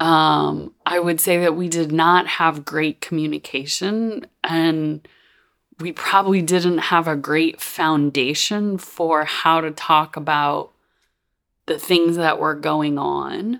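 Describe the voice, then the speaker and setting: At a very slow pace, a woman with a fairly low pitch speaks with fairly even intonation. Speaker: podcast host and mentor. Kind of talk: personal storytelling monologue. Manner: casual, filler-heavy.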